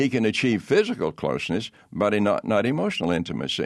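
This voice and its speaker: A man's fairly low voice over a quiet background. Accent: Southern US. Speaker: pastor. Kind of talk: interview testimony. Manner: halting.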